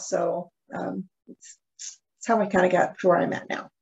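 A woman talks at a moderate pace with vocal fry and a husky, rough edge. Her pitch sits fairly low and barely moves.

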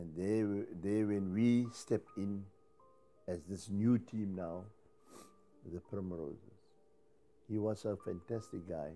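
A man at a very slow pace with long, frequent pauses and fairly even intonation, faint music in the background. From Cape Town, South Africa. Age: 70s. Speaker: Cape Malay choir singer. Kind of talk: interview answer. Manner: humorous. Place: home room. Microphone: lapel.

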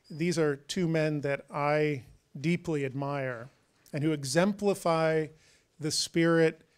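Quiet surroundings behind a man's voice. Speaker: university president hosting event. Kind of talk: welcome speech. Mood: formal, warm. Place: stage. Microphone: handheld.

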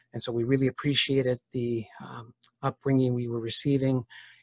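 A somewhat breathy man at a moderate pace, the sound dry with no echo and the background quiet. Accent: Canadian. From Ontario, Canada. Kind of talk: testimony. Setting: video call. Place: home room. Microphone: video call.

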